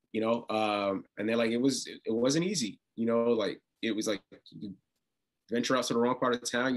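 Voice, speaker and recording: A man speaks with a New York accent. His pitch is medium and his pace moderate. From Brooklyn, New York. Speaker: reality TV contestant. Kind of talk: interview. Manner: halting, many repetitions and fillers.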